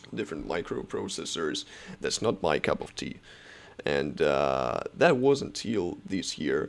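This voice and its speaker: A man speaks at a fairly slow pace. He has a non-native accent. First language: not English. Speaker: software developer and student vlogger. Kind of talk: casual tutorial vlog. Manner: halting, many fillers.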